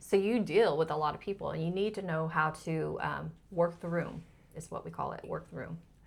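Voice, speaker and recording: The voice carries vocal fry. It moves at a fairly quick pace. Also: woman. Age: 50s. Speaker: pageant winner and former scientist. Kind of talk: interview conversation.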